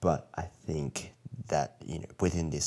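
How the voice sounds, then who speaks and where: Speaking with an Australian accent, a man uses a very deep, low pitch with vocal fry and ordinary pitch variation. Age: 20s. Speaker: elementary school teacher. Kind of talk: casual chat. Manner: halting, many fillers.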